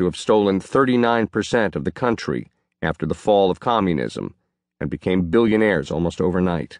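Against a quiet background, a man with an ordinary speaking voice talks at a moderate pace and fairly low pitch with lively intonation, in a dry, close sound with no echo. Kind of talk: audiobook reading of a first-person memoir. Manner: steady, even narration with measured pacing.

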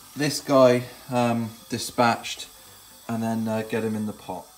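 Light background noise behind a man's voice. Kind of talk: casual cooking vlog chat. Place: kitchen. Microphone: phone near.

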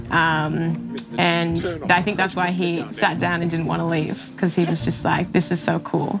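Clear music runs underneath. Over it, a woman talks at a moderate pace. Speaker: ultra runner. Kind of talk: interview answer. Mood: warm, proud, reflective. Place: forest. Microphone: lapel.

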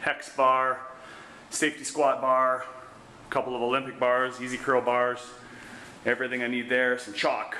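There is audible room echo and light background noise. A man speaks at a moderate pace with long, frequent pauses. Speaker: fitness trainer. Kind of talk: casual vlog home tour. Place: gym. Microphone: phone near.

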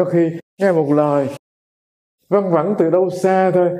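This man's voice is high for a man, with a dark, mellow tone and ordinary pitch variation. The background is quiet. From Vietnam. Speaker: Buddhist monk teacher. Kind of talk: Dharma lecture. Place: home room.

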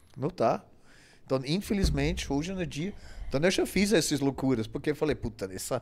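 This man's voice sits fairly high. It has audible vocal fry. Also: moderate pace. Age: 60s. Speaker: bodybuilding coach and former competitor. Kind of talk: casual interview. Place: studio. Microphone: studio mic.

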